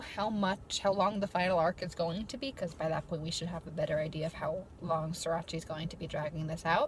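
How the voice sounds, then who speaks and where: This woman's voice is somewhat breathy. She keeps a moderate pace. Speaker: YouTuber, college student. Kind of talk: casual vlog talk. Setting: in her car. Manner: halting, off the cuff.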